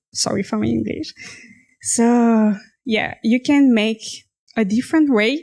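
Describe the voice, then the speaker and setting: A woman in a French accent at a fairly slow pace. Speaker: fashion designer. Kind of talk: personal story monologue. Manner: halting, self-correcting.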